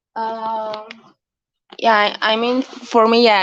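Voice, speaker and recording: A woman speaks at a fairly slow pace with a Romanian accent. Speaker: film director. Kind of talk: panel Q&A discussion.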